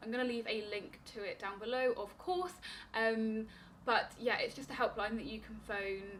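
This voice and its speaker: In a British accent, a woman talks at a fairly high pitch with ordinary pitch variation and big swings in loudness. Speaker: diabetes vlogger. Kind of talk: casual vlog advice. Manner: fast; stumbling over words.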